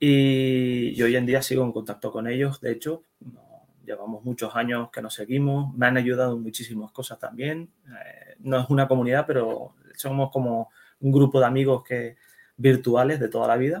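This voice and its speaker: A man speaks at medium pitch and a moderate pace, with monotone, flat intonation and big swings in loudness. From Netherlands, Spanish immigrant family. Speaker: web developer and security specialist. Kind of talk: interview. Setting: at home, son nearby.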